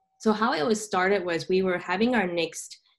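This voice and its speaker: Her pitch moves in a normal way as a woman with an ordinary speaking voice talks at a moderate speed. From Southern California. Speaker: tech entrepreneur. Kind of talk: interview.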